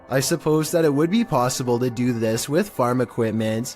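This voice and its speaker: The speech moves at a moderate pace with ordinary pitch variation. Music plays in the background. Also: man. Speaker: YouTube narrator. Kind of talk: scary video countdown narration.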